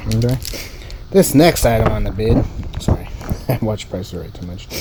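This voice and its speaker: Fairly quick speech with noticeable noise behind it. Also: man. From United States. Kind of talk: casual unboxing talk to camera.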